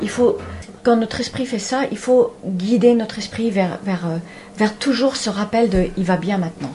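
A woman at a medium pitch and moderate pace, with ordinary pitch variation and noticeable background noise. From Spain and Paris. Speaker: animal communicator. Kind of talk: radio interview.

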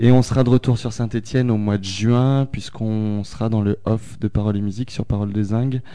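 A man speaks at a moderate pace in a fairly low pitch. His intonation stays flat and monotone. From France, Haute-Loire. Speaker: guitarist and singer in a rock-electro band. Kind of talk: casual radio interview.

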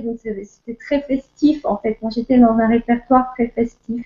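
A woman talks at a moderate pace in a high pitch with fairly even intonation. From France, Alsace. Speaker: music teacher and guest. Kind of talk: casual interview chat. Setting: video call.

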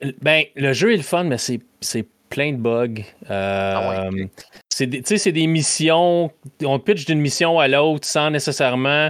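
This man has a fairly high pitch and lively intonation. He speaks at a very slow pace. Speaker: podcast host guest from another gaming show. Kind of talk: casual chat.

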